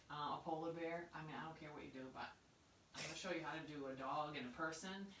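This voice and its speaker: A woman with a Maine accent at a fairly quick pace, with audible room echo and light background noise. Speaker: art teacher. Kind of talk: tutorial; casual chat. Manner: casual, halting. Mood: cheerful, chatty. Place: studio.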